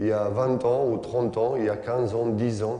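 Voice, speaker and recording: A man with a non-native accent speaks at a medium pitch and fairly slow pace in a flat monotone, with noticeable background noise and audible room echo. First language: not French (speaking French). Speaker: basketball coach and former player. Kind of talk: coaching clinic lecture. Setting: conference hall with audience and interpreter. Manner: halting, many hesitations.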